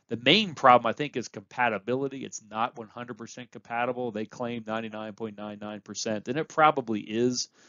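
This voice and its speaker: With a plain, everyday voice, a man speaks fairly quickly at a medium pitch, with hardly any pauses, fairly even intonation and big swings in loudness. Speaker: university lecturer. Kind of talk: lecture.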